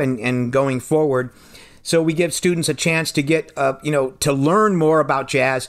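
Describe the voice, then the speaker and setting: A man with an unremarkable speaking voice and an American accent, fairly high in pitch, with ordinary pitch variation and a moderate pace, on a very clean recording with a silent background. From Pennsylvania. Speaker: jazz drummer and music teacher. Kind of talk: radio interview.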